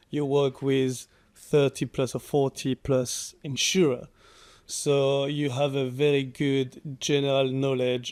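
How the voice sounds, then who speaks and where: A man with a French accent and a fairly high pitch speaks with fairly even intonation in a very clean recording with a silent background. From France. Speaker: cyber insurance underwriter. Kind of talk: interview. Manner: halting.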